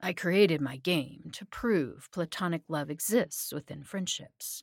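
A woman puts on a character voice, low-pitched with a slightly husky edge and ordinary pitch variation. She speaks at a slow pace on a very clean recording with a silent background.

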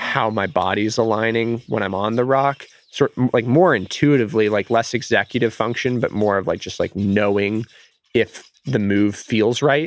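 In an ordinary speaking voice, a man talks at a moderate pace and medium pitch with ordinary pitch variation, recorded dry and close with no echo. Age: 20s. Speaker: applied mathematician and boulderer. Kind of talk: casual chat. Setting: outdoors.

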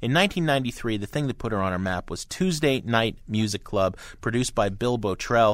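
With an American accent, a man speaks in a normal speaking voice at a medium pitch, his intonation lively. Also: very clean recording, silent background. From New Jersey (Hoboken). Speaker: pop music critic and radio co-host. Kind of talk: radio talk show interview and album reviews.

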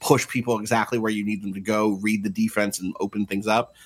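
At a moderate pace, a man speaks with a fairly low pitch and ordinary pitch variation. He has an unremarkable speaking voice. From New Jersey, Atlantic City. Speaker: games journalist. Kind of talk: casual chat.

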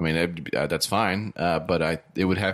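Fairly bright tone, fairly even intonation and a moderate pace on a very clean recording with a silent background. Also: man, low pitch for a man.

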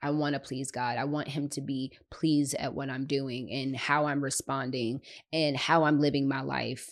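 A woman speaks in a very deep, low voice with monotone, flat intonation. Her pace is moderate, and the background is quiet. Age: 30s. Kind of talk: solo faith podcast talk. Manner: casual, conversational.

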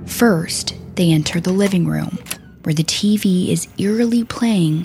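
Music plays in the background as a woman speaks at a fairly slow pace in a solemn tone. Her pitch is medium with ordinary variation, and her loudness stays very even. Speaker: true crime podcast host. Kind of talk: dramatic true-crime narration. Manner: grave, solemn, measured storytelling delivery.

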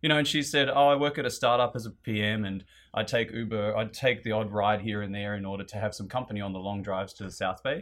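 Speech races by at a very fast pace with an Australian accent. Pitch varies in an ordinary way, and there are hardly any pauses. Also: man, fairly low pitch for a man. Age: 30s. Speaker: guest. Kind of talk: casual chat.

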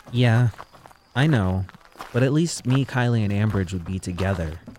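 Over noticeable background noise, a man speaks at a moderate pace with a fairly low pitch. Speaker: audio drama actor playing Jay. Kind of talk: scripted first-person audio drama narration.

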